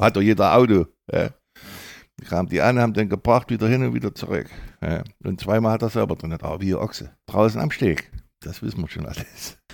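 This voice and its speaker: In a very clean recording with a silent background, the speaker uses vocal fry and lively intonation at a fairly quick pace, broken by long, frequent pauses. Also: man, fairly low pitch for a man. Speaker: former footballer and coach. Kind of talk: interview.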